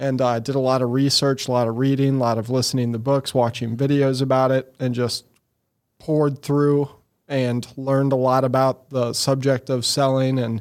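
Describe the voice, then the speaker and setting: In a Missouri accent, a man at medium pitch speaks at a moderate pace with monotone, flat intonation and very even loudness. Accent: Midwestern American (Missouri). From Missouri, St. Louis area (Eureka). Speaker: entrepreneur, marketing agency CEO. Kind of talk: interview conversation. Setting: studio.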